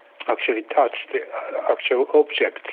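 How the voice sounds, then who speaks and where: Over noticeable background noise, a man speaks with a Japanese accent. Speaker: potter and kiln builder. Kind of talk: casual interview. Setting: phone call. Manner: halting.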